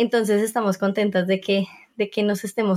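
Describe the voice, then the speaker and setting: Her pitch sits at a medium level for a woman. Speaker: podcast host. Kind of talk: casual interview.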